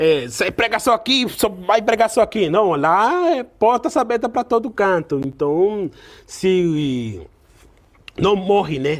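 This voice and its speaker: A man talks at a very slow pace with a high pitch. His pitch swings very widely while his loudness stays very even. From Venezuela. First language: Spanish (speaking Portuguese). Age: young. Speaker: pastor. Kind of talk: casual interview chat. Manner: halting, with repetitions.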